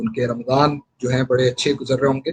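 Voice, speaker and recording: Somewhat breathy and with fairly even intonation, a man with a Pakistani accent speaks at medium pitch. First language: Urdu. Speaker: political candidate. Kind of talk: live radio broadcast, campaign talk. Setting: radio studio. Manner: halting, many fillers.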